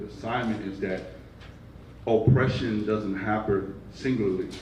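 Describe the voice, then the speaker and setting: In a Brooklyn accent, a man talks at a fairly slow pace and fairly low pitch, his intonation fairly even, with audible room echo. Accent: Brooklyn New York. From Brooklyn, New York. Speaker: nonprofit division leader. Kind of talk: panel discussion.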